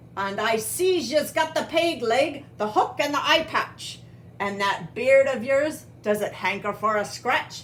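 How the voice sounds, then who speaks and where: A woman puts on a gruff character voice with a high pitch. She talks at a fairly slow pace over clear background noise. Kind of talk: children's read-aloud character voice. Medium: read story. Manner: gruff, blustering, pirate slang.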